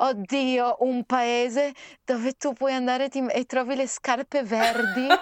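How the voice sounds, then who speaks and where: In a dry, close sound with no echo, a woman with a high pitch speaks at a very slow pace, with very even loudness and monotone, flat intonation. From Trieste, Italy. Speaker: singer. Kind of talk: conversational interview.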